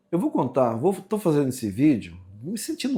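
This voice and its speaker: The man's voice is dark and mellow in tone, and somewhat breathy. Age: 60s. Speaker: vlogger. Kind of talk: personal storytelling monologue. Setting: at home, kitchen sink. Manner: casual, conversational.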